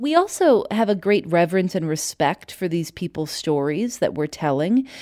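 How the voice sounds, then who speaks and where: A dark, mellow tone with an American accent at a moderate pace, on a very clean recording with a silent background. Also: woman. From Chicago. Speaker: podcast host and journalist. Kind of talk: interview. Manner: distinctive, measured narration style.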